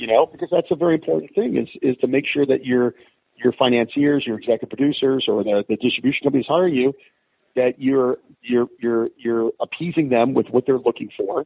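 An unremarkable speaking voice from a man at a fairly quick pace. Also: medium pitch for a man, ordinary pitch variation. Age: 50s. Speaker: film director and producer. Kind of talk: interview.

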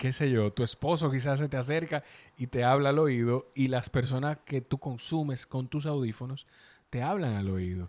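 At a moderate pace, a man with a slight Dominican accent speaks in a medium pitch with ordinary pitch variation, with a dry, close sound and no echo on a very clean recording with a silent background. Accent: Dominican Spanish, mild. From Dominican Republic. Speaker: podcast producer and host. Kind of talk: casual chat. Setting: recording in person, on video.

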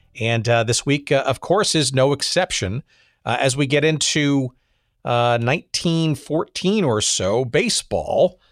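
Very slowly and at very even loudness, a man with a fairly high pitch speaks with lively intonation on a very clean recording with a silent background. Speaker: podcast host. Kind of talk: casual interview. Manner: hesitant, many fillers.

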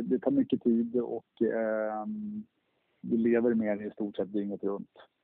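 The speaker's pitch moves in an ordinary way. The pace is fairly slow. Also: man. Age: 40s. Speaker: car dealership owner. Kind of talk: interview. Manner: halting, many fillers and repeats.

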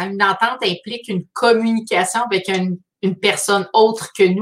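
This is a woman speaking. She talks in a Quebec accent. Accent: Québécois French. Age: 40s. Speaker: artist hosting a weekly live. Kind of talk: live stream monologue. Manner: halting.

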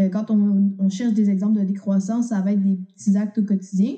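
A woman speaks at a moderate pace and medium pitch with a Quebec accent. Her tone is dark and mellow, and somewhat breathy. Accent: Québécois French. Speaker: student activist. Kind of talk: interview.

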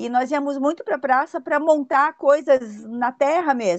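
Over a quiet background, a woman with a high pitch speaks at a moderate pace and with lively intonation. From Brazil, São Paulo. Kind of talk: interview.

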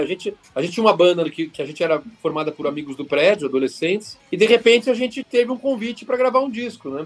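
A man's pitch leaps very widely as he talks at a very fast pace. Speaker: rock guitarist. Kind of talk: podcast interview.

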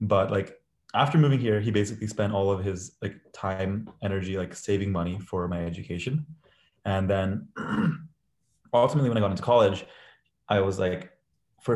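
A man with a fairly low pitch and ordinary pitch variation speaks at a very fast pace. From India, raised in US. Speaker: startup co-founder. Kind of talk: casual panel discussion. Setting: online audio chat room.

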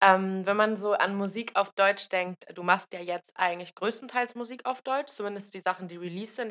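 The sound is dry and close, with no echo. A woman speaks at a moderate pace and medium pitch with ordinary pitch variation. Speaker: podcast host. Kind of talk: casual interview chat. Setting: video call.

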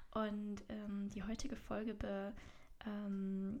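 The woman's voice is somewhat breathy. It sits at a medium pitch. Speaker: podcast host, soul coach. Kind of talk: casual solo monologue.

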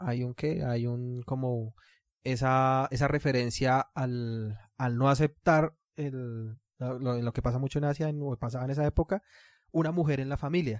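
A man speaks at a fairly slow pace in a normal speaking voice, medium in pitch, with a dry, close sound, no echo, a very clean recording and a silent background. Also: fairly even intonation. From Latin America. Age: 30s. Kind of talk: casual chat.

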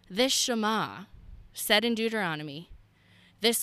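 Loud and animated, a woman with a bright, sharp tone and medium pitch speaks at a fairly slow pace on a very clean recording with a silent background. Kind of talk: faith podcast monologue.

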